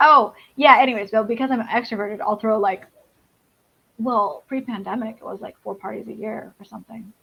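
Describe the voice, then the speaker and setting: A woman with a fairly high pitch and vocal fry talks at a fairly quick pace in a bright, sharp tone, her intonation fairly even but her loudness swinging a lot. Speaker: comic creator. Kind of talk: casual chat. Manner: fast.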